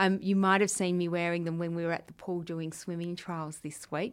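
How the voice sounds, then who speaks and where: A woman's fairly low voice in an Australian accent, on a very clean recording with a silent background. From Western Australia. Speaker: school deputy principal. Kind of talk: interview answering students' questions. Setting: room with students present.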